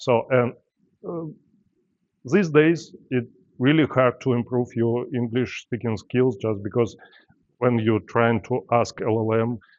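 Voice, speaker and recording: Speaking with a non-native accent, a man talks at a medium pitch and fairly slow pace, with ordinary pitch variation and long, frequent pauses. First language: not English. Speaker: software developer, conference speaker. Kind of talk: tech talk with live demo. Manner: halting, many fillers.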